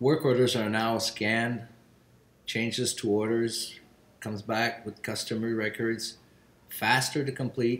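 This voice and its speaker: A man with a Quebec accent talks at a fairly slow pace, his medium-pitched voice following fairly even intonation. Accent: French-Canadian accent in English. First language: French. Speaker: business general manager. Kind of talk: video testimonial.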